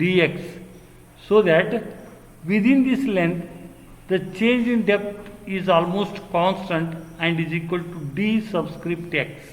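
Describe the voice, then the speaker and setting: A man's high-pitched voice at a very slow pace, with ordinary pitch variation, long and frequent pauses, audible room echo and noticeable background noise. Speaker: engineering lecturer. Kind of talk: lecture.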